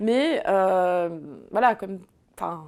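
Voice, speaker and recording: On a very clean recording with a silent background, a woman of medium pitch speaks at a very slow pace with ordinary pitch variation. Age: 30s. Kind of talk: interview answer. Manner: hesitant, many filler sounds.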